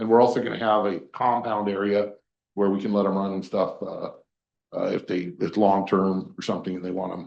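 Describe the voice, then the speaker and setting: A fairly low-pitched man speaks at a moderate pace in a monotone, flat intonation, with big swings in loudness. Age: 60s. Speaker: permit applicant at public meeting. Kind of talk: public hearing testimony. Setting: county planning commission meeting. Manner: hesitant, many fillers.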